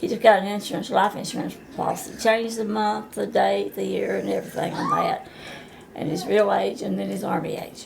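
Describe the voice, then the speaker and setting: A woman at a fairly quick pace, with noticeable background noise and audible room echo. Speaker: grandmother being interviewed. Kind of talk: casual family interview.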